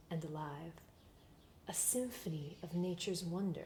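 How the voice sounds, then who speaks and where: At a very slow pace, a woman speaks in a gentle tone. Her voice is somewhat breathy. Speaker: roleplay ASMR creator playing a potion maker. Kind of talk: fairy-tale story reading in rhyming verse. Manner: slow, gentle storytelling.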